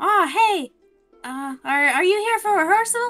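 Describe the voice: A put-on character voice, shrill and extremely high in pitch, moves at a moderate pace with faint music in the background.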